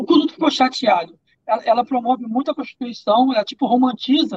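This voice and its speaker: Speaking at a fairly quick pace, a man uses an extremely high pitch. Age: 30s. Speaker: social media personality, ex-boyfriend of an influencer. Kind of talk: casual podcast interview.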